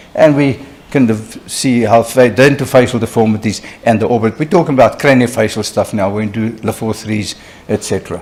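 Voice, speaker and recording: Against noticeable background noise, a man talks at a fairly quick pace, with medium pitch and fairly even intonation. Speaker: oral and maxillofacial surgeon lecturer. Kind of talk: lecture. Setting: conference hall with live interpreter.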